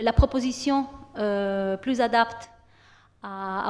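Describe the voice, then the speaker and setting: A woman with an Italian accent talks at a medium pitch. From Italy. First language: Italian (speaking French). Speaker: university lecturer. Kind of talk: program presentation to students. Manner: hesitant, many fillers and repetitions.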